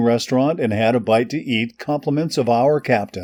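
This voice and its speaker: In a plain, everyday voice, a man speaks at a medium pitch and moderate pace with ordinary pitch variation on a very clean recording with a silent background. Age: 60s. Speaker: sailing vlogger and boat crew member. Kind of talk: scripted voiceover narration.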